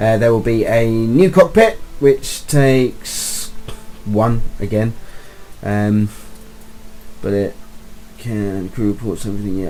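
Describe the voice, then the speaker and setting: Lively intonation from a man at a medium pitch, long, frequent pauses and noticeable background noise. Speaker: gaming YouTuber. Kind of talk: let's play tutorial commentary. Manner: rambling, hesitant with many ums.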